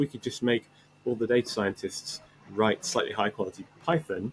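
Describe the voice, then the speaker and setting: A man with an English accent at a fairly quick pace, in a dry, close sound with no echo. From England. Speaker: tech startup CEO. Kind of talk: podcast interview.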